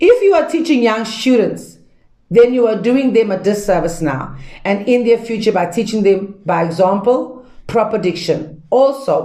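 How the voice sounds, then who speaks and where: A woman at a moderate pace, with very wide pitch swings and audible room echo. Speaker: pastor and Bible teacher. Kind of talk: lecture. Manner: loud; casual, conversational teaching with fillers.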